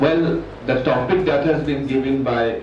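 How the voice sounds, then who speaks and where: Fairly slow speech in an Assamese accent, with audible room echo and noticeable background noise. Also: man. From Assam, India. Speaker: politician. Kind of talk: speech at a talk event.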